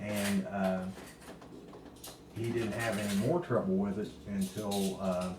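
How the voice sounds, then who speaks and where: A man with a Kentucky accent speaks at a very slow pace in a fairly low pitch, with fairly even intonation and long, frequent pauses. Noticeable background noise and audible room echo surround him. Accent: Kentucky, US South. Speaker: family member sharing memories. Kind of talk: casual chat.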